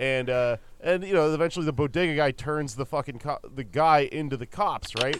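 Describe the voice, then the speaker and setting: With an American accent and a normal speaking voice, a man talks at a fairly high pitch and fairly quick pace, with ordinary pitch variation and hardly any pauses. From US, El Paso, Texas. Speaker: comedian and podcast host. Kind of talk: casual chat.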